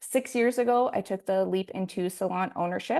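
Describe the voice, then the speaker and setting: With a Canadian accent, a woman talks at a fairly quick pace in a medium pitch, with vocal fry and ordinary pitch variation. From Canada, Alberta. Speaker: hairstylist and salon owner. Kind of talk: online masterclass presentation. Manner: fast.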